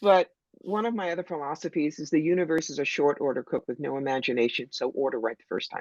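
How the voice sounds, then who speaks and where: Talking at a very fast pace with lively intonation, a woman with an American accent uses a very deep, low pitch, and the sound is dry and close with no echo over a quiet background. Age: 60s. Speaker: intuitive counselor and speaker. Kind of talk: interview.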